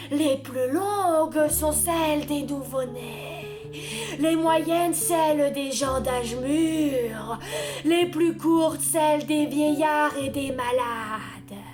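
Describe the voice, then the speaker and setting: A woman uses a put-on character voice, high-pitched and delivered at a very slow pace. Loud music plays in the background. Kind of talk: fairy-tale storytelling. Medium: read story. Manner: solemn, slow, grave.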